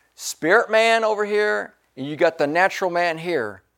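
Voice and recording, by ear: With little sound behind them, the speaker reads aloud in a natural voice.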